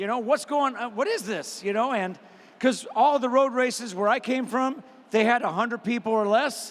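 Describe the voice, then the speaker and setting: Ordinary pitch variation runs through speech at a moderate pace. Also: man, extremely high pitch for a man. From US Midwest. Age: 60s. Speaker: retired elite distance runner. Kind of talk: panel Q&A.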